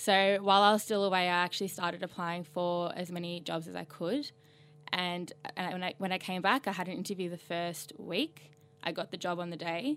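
With music in the background, a woman with an Australian accent speaks fairly quickly in a fairly low pitch and fairly even intonation. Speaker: communications officer. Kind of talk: casual chat.

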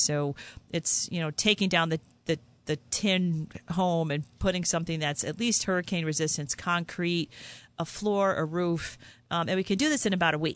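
A woman with an American accent uses a normal speaking voice at a fairly low pitch, keeping a moderate pace and ordinary pitch variation. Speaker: ophthalmologist. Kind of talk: radio interview. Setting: studio.

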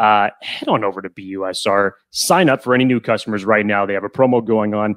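A man's pitch varies in an ordinary way. The recording is very clean, dry and close, with a silent background and no echo. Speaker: podcast co-host. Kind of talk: casual sports podcast chat.

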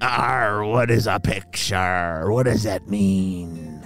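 In a put-on character voice, a man speaks at a very slow pace and a fairly low pitch over clear music in the background. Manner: gruff, arr-ing.

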